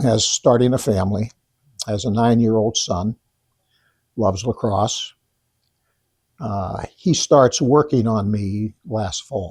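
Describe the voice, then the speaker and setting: At a very slow pace with long, frequent pauses, a man speaks at a medium pitch with ordinary pitch variation. His voice is somewhat breathy, with a dry, close sound and no echo. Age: 70s. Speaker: high school lacrosse coach. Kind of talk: interview. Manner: halting, with many restarts.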